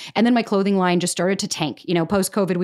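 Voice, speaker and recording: A woman with an American accent and a medium pitch. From Florida. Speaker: podcaster and content creator. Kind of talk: casual interview chat.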